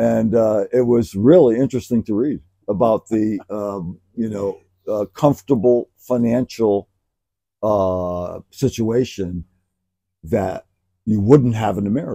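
Over a quiet background, a man speaks at a fairly slow pace. His tone is dark and mellow, with ordinary pitch variation. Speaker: podcast co-host. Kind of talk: casual conversation. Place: garden. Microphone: lapel.

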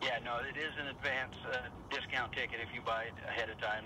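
A man with a medium-pitched voice talks over noticeable background noise. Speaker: monster truck driver and team owner. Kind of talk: radio interview answer. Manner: enthusiastic, conversational.

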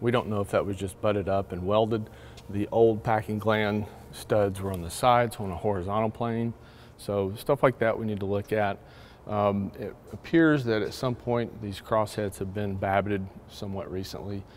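Light background noise sits behind a man's voice. He talks at a moderate pace with fairly even intonation. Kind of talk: walkthrough explanation. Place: workshop. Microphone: lapel.

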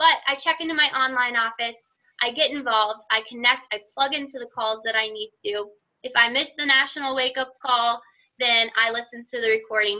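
The voice is raised and projected, with a bright, sharp tone. It moves at a fairly quick pace with ordinary pitch variation. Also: woman. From Virginia, US. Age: 20s. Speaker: fitness business coach and nurse. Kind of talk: presentation on a team call. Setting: phone or web conference call.

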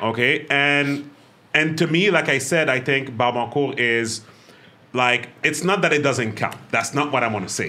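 A bright, sharp, animated tone at a moderate pace, with ordinary pitch variation. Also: man, fairly high pitch for a man. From Quebec, Montreal. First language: French. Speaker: podcast host and business owner. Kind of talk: casual chat. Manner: animated, laughs often.

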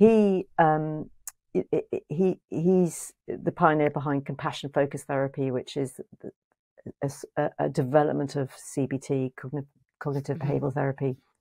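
Against a quiet background, a woman with an English accent and a very deep, low voice speaks in a dark, mellow tone at a moderate pace, with ordinary pitch variation and long, frequent pauses. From England. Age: 50s. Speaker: psychotherapist and author; podcast guest. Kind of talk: interview conversation. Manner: hesitant, many fillers. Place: home room. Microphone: earbuds.

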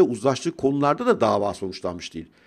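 A man of medium pitch talks with vocal fry against a quiet background. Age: 50s. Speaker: financial commentator youtuber. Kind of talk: casual monologue commentary. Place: home room. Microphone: studio mic.

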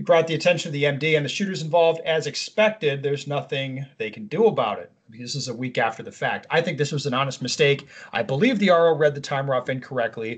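A somewhat breathy man races along at a very fast pace with hardly any pauses and ordinary pitch variation against a quiet background. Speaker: podcast co-host. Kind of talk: reading an email aloud with commentary. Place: home room. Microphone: video call.

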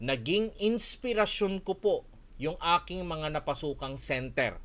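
His pitch swings very widely. The man keeps to a moderate pace. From Philippines, Olongapo City; Philippines. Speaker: Korean language teacher and school owner; Korean language teacher. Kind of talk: online webinar. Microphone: webcam.

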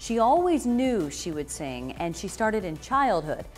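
Over music in the background, a woman speaks at a fairly high pitch with very wide pitch swings. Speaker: podcast host. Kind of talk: podcast intro narration. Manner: fast.

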